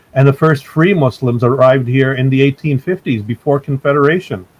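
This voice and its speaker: A man with a Canadian accent speaks in a somewhat breathy, fairly high voice with ordinary pitch variation, in a dry, close sound with no echo. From Canada (immigrated young). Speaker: human rights advocate. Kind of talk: interview. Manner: frequent fillers and hesitations.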